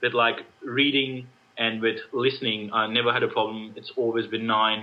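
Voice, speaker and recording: A man with an Australian accent speaks at a moderate pace in a medium pitch, his intonation flat and monotone. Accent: noticeable Australian. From India. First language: Indian language. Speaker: IELTS test taker. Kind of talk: interview.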